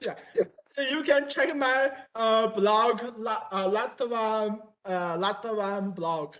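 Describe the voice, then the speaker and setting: A woman speaks at a very slow pace with a Chinese accent. Her fairly high pitch shows ordinary variation. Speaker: university student. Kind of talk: casual chat. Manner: halting.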